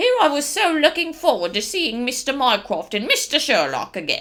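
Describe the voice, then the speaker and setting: Using a put-on character voice, a woman speaks at a moderate pace with a high pitch that swings very widely. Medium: read story. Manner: grumbling, plain-spoken.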